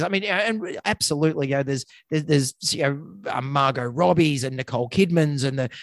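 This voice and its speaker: The speaker has an Australian accent and a fairly quick pace. The sound is dry and close, with no echo. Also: man. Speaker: veterinarian, podcast co-host. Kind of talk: casual chat; reading aloud. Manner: fast.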